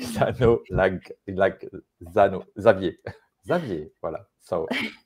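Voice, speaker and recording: Here a man speaks with a French accent. His pace is very slow. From France. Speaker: live show co-host. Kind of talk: live stream conversation. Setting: live stream. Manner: halting, many fillers. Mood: friendly, smiling. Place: home room. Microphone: earbuds.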